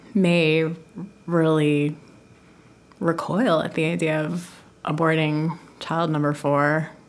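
A woman speaks with a very deep, low pitch. Her intonation is monotone and flat. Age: 40s. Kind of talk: interview.

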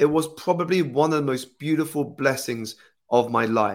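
A man talks at a moderate pace with a British accent. His pitch is fairly high, with ordinary variation. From United Kingdom. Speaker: life coach and author. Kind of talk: casual interview conversation. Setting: video call.

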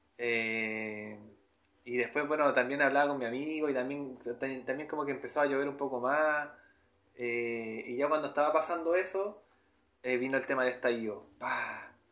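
In a Chilean accent, a man with a medium pitch and a bright, sharp tone talks at a moderate pace with ordinary pitch variation, and the room echo is audible. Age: 20s. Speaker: spiritual podcaster. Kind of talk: personal spiritual monologue. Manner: hesitant, repetitive.

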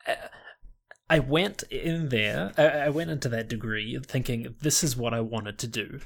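The speaker has a New Zealand accent. The pace is moderate, with ordinary pitch variation. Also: man, medium pitch for a man. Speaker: internet content creator. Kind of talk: casual chat.

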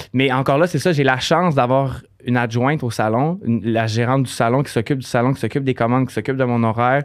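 A man with a Quebec accent talks at a very fast pace, his medium pitch moving with ordinary variation. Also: very clean recording, silent background. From Quebec, Saguenay region. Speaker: hairdresser and salon owner. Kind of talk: casual interview.

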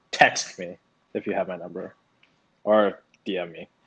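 This man speaks at a fairly low pitch. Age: 20s. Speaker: podcast co-host. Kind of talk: casual chat. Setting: remote recording.

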